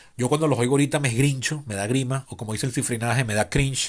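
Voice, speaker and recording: With ordinary pitch variation, a man's voice comes through on a very clean recording against a silent background. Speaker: podcast host. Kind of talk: improvised solo podcast monologue. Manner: fast.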